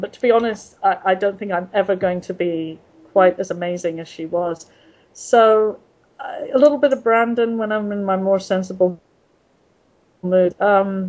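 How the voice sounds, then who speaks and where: Here a woman speaks with an English accent. Her medium-pitched voice keeps a fairly even intonation. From England. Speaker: author. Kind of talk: interview. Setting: video call. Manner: halting.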